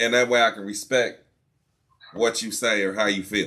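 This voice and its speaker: Loud and with a bright, sharp tone, a man at a medium pitch speaks at a moderate pace with fairly even intonation. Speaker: podcast host. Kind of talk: casual chat.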